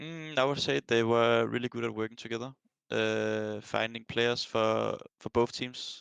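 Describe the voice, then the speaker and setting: Someone talks at a moderate pace with a Danish accent. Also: man. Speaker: professional esports player. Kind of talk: interview. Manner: halting, many fillers.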